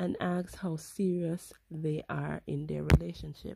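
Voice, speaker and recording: A dark, mellow, somewhat breathy tone at a fairly slow pace. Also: woman. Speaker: soap opera recap host. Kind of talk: episode recap narration.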